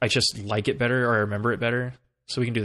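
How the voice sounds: This is a natural reading voice with fairly even intonation over a quiet background.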